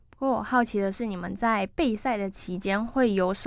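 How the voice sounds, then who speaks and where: On a very clean recording with a silent background, an unremarkable speaking voice moves at a moderate pace with lively intonation. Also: woman. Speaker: campus radio sports show host. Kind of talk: casual interview chat.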